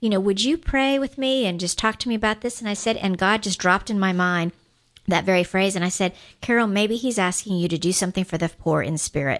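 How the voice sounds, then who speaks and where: Talking at a very fast pace, a woman uses an animated tone with a medium pitch and ordinary pitch variation. The background is quiet. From Guam. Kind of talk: radio pledge drive talk. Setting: radio studio.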